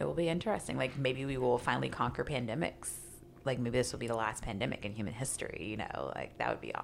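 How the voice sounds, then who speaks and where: A woman speaks very fast with a Midwestern US accent. Her very deep, low voice has lively intonation. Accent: US Midwest. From Kansas City, Kansas (Wyandotte County). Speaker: poet and writer. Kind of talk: casual chat.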